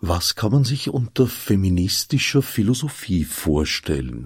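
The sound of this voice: The voice has a slightly husky edge and moves at a fairly slow pace. Its pitch swings are big. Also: man, low pitch for a man.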